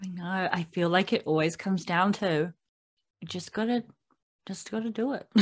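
A woman's medium-pitched voice with a New Zealand accent, ordinary pitch variation, a moderate pace, long and frequent pauses, and a quiet background. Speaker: podcast host. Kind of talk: casual interview; podcast intro.

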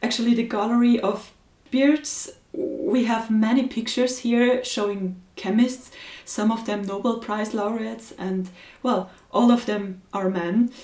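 A woman speaks at a fairly slow pace with a German accent and a fairly high pitch. Her pitch varies in an ordinary way, and there is noticeable background noise. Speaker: podcast host. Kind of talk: interview.

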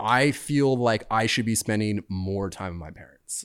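A man speaks at a medium pitch and a fairly slow pace, with ordinary pitch variation, on a very clean recording with a silent background. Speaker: surfer and surf brand owner. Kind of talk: casual chat. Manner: laid-back.

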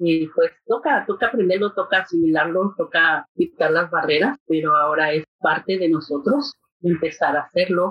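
A woman's normal speaking voice, fairly low in pitch, at a moderate pace with lively intonation, very even loudness and hardly any pauses. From Mexico City. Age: 50s. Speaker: mental health navigator. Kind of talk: casual interview. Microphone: poor audio quality.

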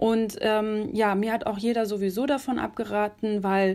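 A woman with an ordinary speaking voice, fairly high in pitch, speaks at a fairly slow pace. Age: 20s. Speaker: journalist. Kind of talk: casual interview.

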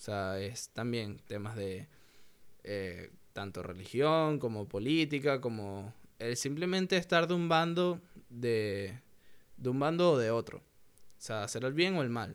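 Recorded very cleanly against a silent background, a man speaks at a medium pitch and a fairly slow pace with very wide pitch swings. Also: big swings in loudness. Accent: Venezuelan. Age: 20s. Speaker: podcaster. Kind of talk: casual monologue.

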